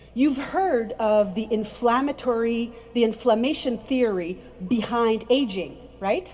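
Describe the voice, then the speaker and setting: An animated, high-pitched woman's voice with ordinary pitch variation, set against noticeable background noise. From French-speaking background. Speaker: skincare trainer. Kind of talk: presentation to an audience.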